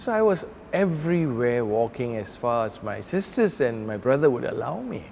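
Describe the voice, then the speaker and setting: Against noticeable background noise, a man talks with very wide swings in pitch. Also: medium pitch for a man, moderate pace. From Malaysia, Kuala Lumpur. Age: 60s. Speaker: pastor. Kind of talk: interview reminiscence.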